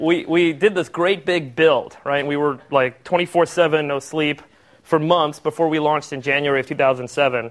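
This man has an unremarkable speaking voice, pitched fairly high and delivered at a fairly slow pace. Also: fairly even intonation. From US, Los Angeles (Hollywood); born in Cape Town, South Africa. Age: 30s. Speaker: startup CEO. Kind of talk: talk to an audience.

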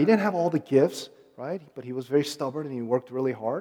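This man talks at a very fast pace in an American accent, his pitch swinging very widely. His tone is dark and mellow. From Korean-American, raised in the US. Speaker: guest preacher. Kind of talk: sermon. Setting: church or conference with audience.

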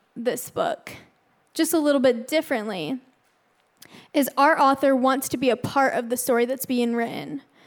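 In an American accent, a woman with a high pitch speaks with ordinary pitch variation on a very clean recording with a silent background. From Arizona, US. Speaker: student ministry intern. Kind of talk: sermon.

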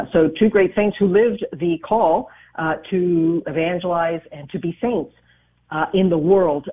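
An ordinary speaking voice with an American accent, lively intonation, and a moderate pace. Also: woman. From US and Dominican Republic. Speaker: radio show host. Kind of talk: interview.

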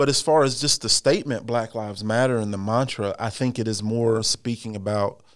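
A man at medium pitch has an unremarkable speaking voice with fairly even intonation, captured on a very clean recording with a silent background. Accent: American. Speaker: former corrections officer, church member. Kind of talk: casual interview.

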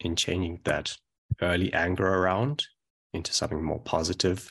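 Against a quiet background, a man with a very deep, low pitch and a bright, sharp tone talks at a moderate pace with ordinary pitch variation. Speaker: website volunteer and translator for a nonprofit. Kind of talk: casual group discussion.

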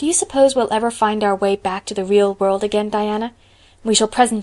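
Simple, plain reading aloud

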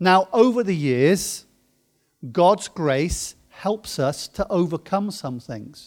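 On a very clean recording with a silent background, a man with a British accent speaks at a very slow pace and high pitch. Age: 50s. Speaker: pastor. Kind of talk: sermon.

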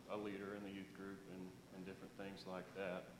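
A man's voice with audible room echo. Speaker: church member giving testimony. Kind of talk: testimony. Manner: slow; halting.

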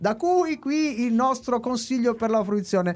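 The speaker goes at a fairly slow pace in a very clean recording with a silent background. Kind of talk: casual chat.

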